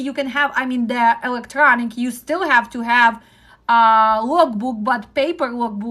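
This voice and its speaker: A woman's high-pitched voice with a Ukrainian accent, moderate pace, ordinary pitch variation and a quiet background. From Ukraine. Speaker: trucking dispatch instructor. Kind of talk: live-stream teaching talk. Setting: live stream. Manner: direct.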